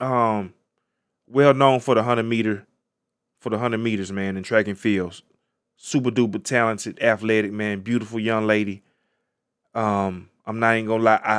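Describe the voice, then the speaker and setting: A man speaks at a medium pitch and a moderate pace in an animated tone, on a very clean recording with a silent background. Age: 30s. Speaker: podcast host. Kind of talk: casual solo commentary on current events.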